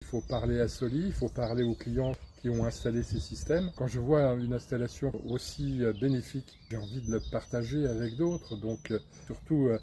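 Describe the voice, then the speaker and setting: A man's somewhat breathy, dark, mellow voice at medium pitch, with ordinary pitch variation and a moderate pace. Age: 60s. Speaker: customer giving a testimonial. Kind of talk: testimonial interview. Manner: hesitant, many fillers.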